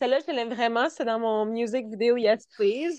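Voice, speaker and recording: At a moderate pace, a woman speaks with a Quebec accent, the sound dry and close with no echo. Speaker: dancer and singer. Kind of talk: interview.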